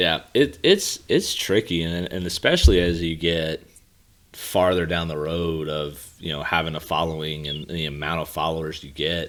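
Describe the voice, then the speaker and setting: At a moderate pace, a man with an American accent delivers his lines in a very deep, low pitch with monotone, flat intonation. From Pennsylvania. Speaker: golf coach and podcast host. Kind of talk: podcast interview.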